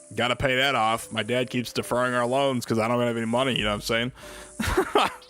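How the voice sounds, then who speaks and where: A man with an American accent talking at a very fast pace over music in the background. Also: medium pitch for a man. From US Midwest, Illinois. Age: 20s. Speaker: gaming streamer. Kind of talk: casual chat. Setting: live stream. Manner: animated.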